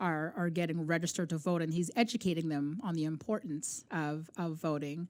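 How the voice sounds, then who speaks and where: On a very clean recording with a silent background, a woman with a Canadian accent and an unremarkable speaking voice speaks at a moderate pace, a fairly low pitch and with fairly even intonation. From Canada. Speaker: podcast co-host, basketball mom. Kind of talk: casual interview chat.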